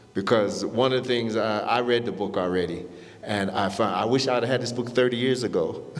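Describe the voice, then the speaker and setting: A man speaks with an American accent and fairly even intonation. Audible room echo fills the recording. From US Midwest, Warren, Ohio. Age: 60s. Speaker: panelist. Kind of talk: panel discussion. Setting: stage with audience. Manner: halting.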